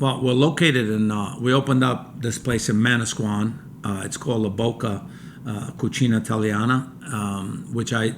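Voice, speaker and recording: Room echo and background noise are both noticeable here. A man with an American accent speaks at a medium pitch. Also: ordinary pitch variation, moderate pace. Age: 60s. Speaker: chef and restaurant owner. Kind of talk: casual chat.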